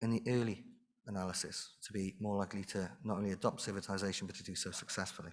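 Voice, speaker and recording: On a very clean recording with a silent background, a man with a Welsh accent talks very fast in a fairly low voice with fairly even intonation. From Wales. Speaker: conference speaker, industry researcher. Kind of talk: conference presentation. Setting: stage with audience.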